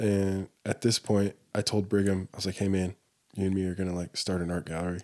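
With an American accent, a man talks at a fairly quick pace in an unremarkable speaking voice with a fairly low pitch. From Texas, Dallas area. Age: 30s. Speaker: artist. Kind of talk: casual chat.

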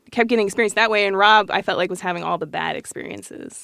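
The recording is very clean with a silent background. A woman with an American accent has a bright, sharp tone, vocal fry and ordinary pitch variation. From Colorado Springs, Colorado, US. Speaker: designer, design studio partner. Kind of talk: casual chat.

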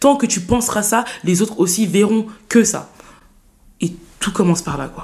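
This woman talks with lively intonation, a medium pitch, and a moderate pace. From France, Saint-Denis (Paris suburbs). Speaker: student and eloquence contest winner. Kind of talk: interview conversation.

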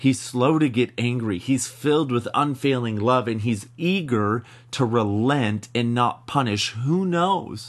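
Here is a man with an unremarkable speaking voice, medium pitch and ordinary pitch variation, talking at a fairly slow pace with hardly any pauses. The background is quiet. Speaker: ministry podcast host. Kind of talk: teaching with scripture reading and prayer.

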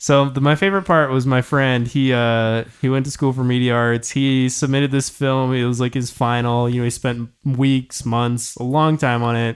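At a moderate pace, a man speaks with hardly any pauses and a medium pitch. His loudness is very even and his intonation fairly even. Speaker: podcast co-host. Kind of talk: casual chat. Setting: studio. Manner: monotone.

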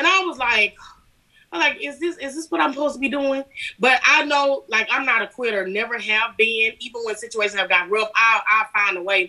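An American woman with a fairly high pitch speaks at a fairly quick pace, sounding animated and upbeat with lively intonation. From Alabama, US South. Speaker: business owner. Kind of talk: casual interview chat. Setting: video call. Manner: animated, upbeat.

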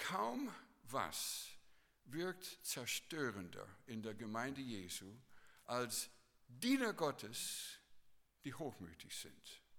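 A man's bright, sharp, medium-pitched voice with lively intonation, a very slow pace and long, frequent pauses. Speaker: preacher. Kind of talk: sermon. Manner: earnest, teacherly preaching, repeating key phrases for emphasis.

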